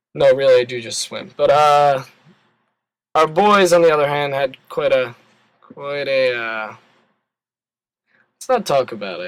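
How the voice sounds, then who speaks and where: Speaking slowly with long, frequent pauses, a man with a Philadelphia accent uses a fairly high pitch, lively intonation and big swings in loudness. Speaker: college swimmer. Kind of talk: casual chat. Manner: halting.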